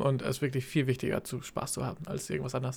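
It's a man who talks here. The background is silent and the recording very clean. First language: not German (speaking German). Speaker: fitness podcast co-host, fitness trainer. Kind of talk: casual chat. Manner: halting, many fillers.

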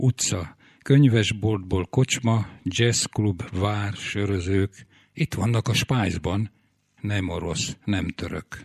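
The voice is somewhat breathy, with ordinary pitch variation. It moves at a very slow pace over a quiet background. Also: man, fairly low pitch for a man. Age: 80s+. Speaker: poet. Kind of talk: reading aloud.

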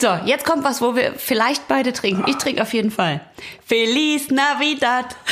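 The speech moves at a moderate pace with ordinary pitch variation and very even loudness. Noticeable background noise is present. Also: woman, high pitch for a woman. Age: 40s. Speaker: podcast co-host. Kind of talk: reading aloud; casual chat. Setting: home recording.

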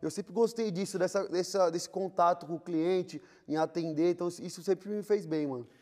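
This man talks at a fairly quick pace in a high pitch. His intonation stays fairly even. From São Paulo periphery, Brazil. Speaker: entrepreneur, clothing store owner. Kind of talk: interview. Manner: casual, hesitant with repetitions.

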